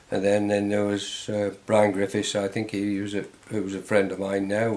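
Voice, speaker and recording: Speaking at a moderate pace, a man with a fairly low pitch keeps a monotone, flat intonation. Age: 80s+. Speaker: former soldier and amateur footballer. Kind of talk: interview answer.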